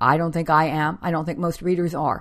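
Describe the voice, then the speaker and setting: In a normal speaking voice, a woman with an American accent talks fairly quickly at a fairly low pitch on a very clean recording with a silent background. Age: 50s. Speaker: podcast host and author. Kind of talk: scripted narration with chatty intro. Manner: conversational, laughs often.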